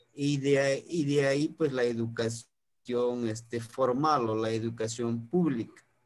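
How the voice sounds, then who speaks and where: A man with a Mexican accent talks at a very slow pace. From Mexico, highlands of Guerrero. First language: Nahuatl (speaking Spanish). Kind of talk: online talk, lecture. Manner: halting, many fillers.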